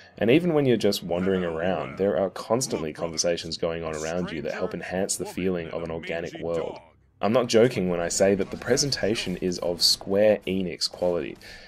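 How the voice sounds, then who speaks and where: This man talks at a fairly quick clip with hardly any pauses. His pitch is very deep and low, with ordinary variation. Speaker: video game reviewer. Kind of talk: scripted review narration.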